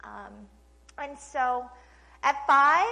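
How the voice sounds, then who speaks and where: Slight Oklahoma accent in a space with audible room echo. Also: woman. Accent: slight Oklahoma twang. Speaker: speaker, trafficking and addiction survivor. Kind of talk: testimony. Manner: casual, conversational with many fillers.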